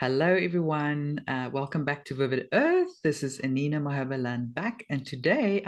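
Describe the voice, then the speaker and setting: Lively intonation in a South African accent, at a moderate pace over a quiet background. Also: woman. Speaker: podcast host. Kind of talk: interview.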